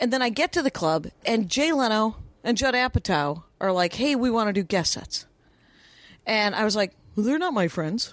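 A plain, everyday voice from a woman, medium in pitch, with an American accent. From Wisconsin, US. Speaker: stand-up comedian. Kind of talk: casual chat.

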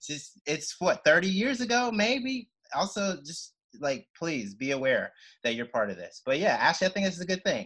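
In an American accent, a man speaks at a high pitch in a bright, sharp tone. His pitch swings very widely at a moderate pace. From Mississippi, US South. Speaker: comedian. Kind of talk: casual chat. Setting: video call.

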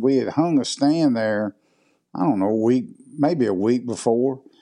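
Over a quiet background, a man with a Mississippi accent speaks at medium pitch in a dark, mellow tone, with ordinary pitch variation. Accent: Mississippi Southern. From southwest Mississippi, US South. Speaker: hunting video producer. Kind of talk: casual interview.

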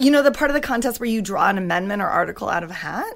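A woman speaks in a high pitch with an American accent and very wide pitch swings. The recording is very clean, with a silent background. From Washington State (Wenatchee). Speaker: playwright and actor. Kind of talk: casual interview chat.

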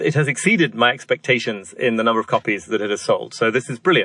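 Speaking fairly quickly in a northern English accent, the voice has a bright, sharp tone and very wide pitch swings. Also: man, dry, close sound with no echo. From northern England, York. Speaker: author and former newspaper psychology columnist. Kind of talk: podcast interview.

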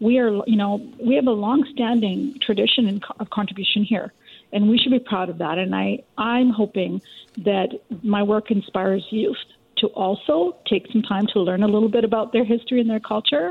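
A plain, everyday voice, fairly high-pitched, from a woman at a moderate pace with ordinary pitch variation. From Richmond, BC, Canada. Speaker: documentary co-producer and author. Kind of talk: radio interview.

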